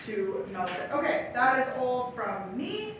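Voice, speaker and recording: A woman's high-pitched voice with ordinary pitch variation, noticeable background noise and audible room echo. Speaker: sanitation department representative. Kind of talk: public meeting presentation and Q&A. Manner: fast.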